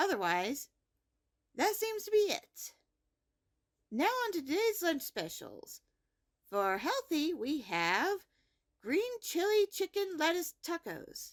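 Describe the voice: A woman's put-on character voice, high-pitched with big pitch swings, slow and full of long, frequent pauses, in a very clean recording with a silent background.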